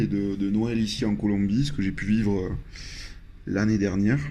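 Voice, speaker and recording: A man's fairly low, dark, mellow voice with fairly even intonation and audible room echo. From southwest France, Landes. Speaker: traveler sharing experience. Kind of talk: personal storytelling. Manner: hesitant, many fillers.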